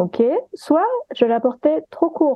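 A woman speaks at a very slow pace. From partly Guadeloupe. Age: 30s. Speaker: sensitivity reader and gender stereotypes influencer. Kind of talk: interview.

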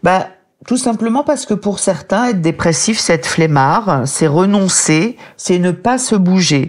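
At a fairly slow pace, a woman speaks with a medium pitch, very wide pitch swings and very even loudness. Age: 50s. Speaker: author and medical writer, depression survivor. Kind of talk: interview testimony.

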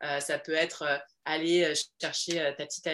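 Here a woman speaks with a very deep, low pitch. Her tone is energetic. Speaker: entrepreneur and women's coach. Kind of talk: casual interview.

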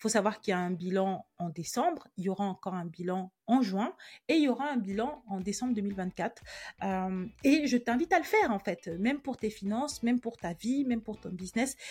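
Captured in a very clean recording with a silent background, a woman with a fairly high, somewhat breathy voice talks at a moderate pace, with lively intonation and big swings in loudness. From Cameroon, then France from age 8. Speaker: podcast host, personal finance coach. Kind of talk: personal monologue, introspective. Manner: casual, many hesitations.

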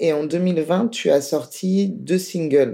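Speaking very slowly, a woman with a strong French accent keeps to a medium pitch. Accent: strong French accent in other languages. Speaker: podcast host. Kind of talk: interview; scripted outro.

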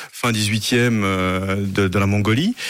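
A man speaks with a fairly low pitch. His intonation is fairly even. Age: 50s. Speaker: festival founder, fencing master and stuntman. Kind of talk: radio interview. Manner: hesitant, many fillers and repetitions.

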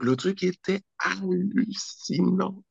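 A man's dark, mellow voice with very wide pitch swings, in a dry, close sound with no echo. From French Antilles (Guadeloupe and Martinique). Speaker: entrepreneur, children's magazine founder. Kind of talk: interview.

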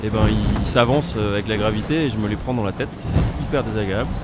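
A man talks at a fairly quick pace with lively intonation, with audible room echo and noticeable background noise. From Brittany, France (Brest). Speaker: onboard media crew member on a racing yacht. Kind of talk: casual onboard audio diary. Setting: inside a racing sailboat at sea. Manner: swallows words.

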